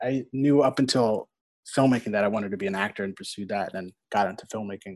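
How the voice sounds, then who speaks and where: With an American accent, a man talks at a very fast pace, his medium pitch carried by lively intonation. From New York City, Staten Island. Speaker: documentary cinematographer. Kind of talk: casual chat. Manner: halting, many fillers.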